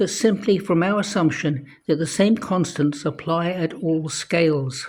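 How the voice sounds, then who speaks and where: A man's high voice at a moderate pace. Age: 80s+. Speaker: amateur science commentator. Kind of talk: monologue explaining an idea.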